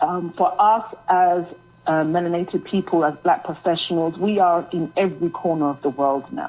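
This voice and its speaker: With music in the background, a woman with a British accent talks at a moderate pace in a fairly low pitch with ordinary pitch variation. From UK, Jamaican heritage. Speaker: author. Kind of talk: interview. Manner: hesitant, many fillers.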